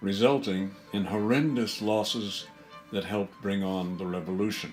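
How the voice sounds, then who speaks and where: Over music in the background, a man with an American accent speaks slowly-ish at a fairly low pitch. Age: 80s+. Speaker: artist, painter. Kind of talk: political commentary narration.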